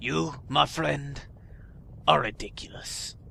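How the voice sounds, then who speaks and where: Using a put-on character voice, a man speaks raspily at a fairly slow pace over clear background noise. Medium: game stream.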